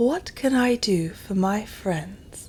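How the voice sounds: A woman's put-on character voice at a medium pitch, with clear background noise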